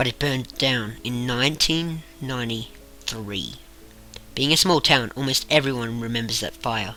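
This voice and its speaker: Music plays behind a man who speaks at a medium pitch and a moderate pace, with ordinary pitch variation. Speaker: amateur creepypasta narrator. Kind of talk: horror story narration. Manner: slight stutter.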